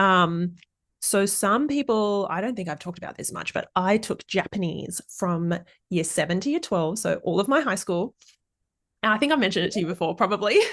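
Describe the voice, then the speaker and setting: A woman with an Australian accent at medium pitch, animated in tone with lively intonation, at a fairly quick pace against a quiet background. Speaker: parenting podcast host. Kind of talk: casual interview chat; podcast outro.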